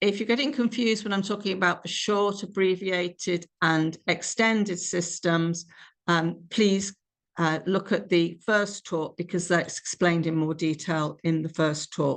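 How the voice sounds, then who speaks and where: Against a quiet background, a woman with a British accent speaks at a fairly slow pace in a fairly low pitch, with ordinary pitch variation. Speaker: clinical scientist presenting a webinar. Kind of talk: lecture. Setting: webinar.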